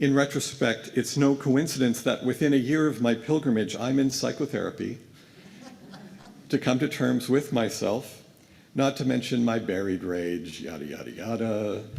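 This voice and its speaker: With vocal fry, a man speaks at a moderate pace and medium pitch, his pitch varying in an ordinary way. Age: 60s. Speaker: guest minister. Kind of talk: sermon. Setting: church pulpit.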